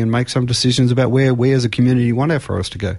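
With an Australian accent, a man speaks at medium pitch over a quiet background. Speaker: forester, farmer and university lecturer. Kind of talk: radio interview. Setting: radio studio.

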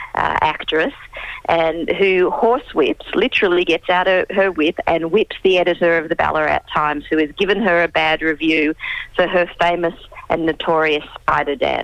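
A woman with an Australian accent speaks at a moderate pace, her pitch fairly low with ordinary variation and her loudness very even. The sound is dry and close with no echo, though noticeable background noise runs underneath. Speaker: historian. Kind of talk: interview, expert explanation. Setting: phone call.

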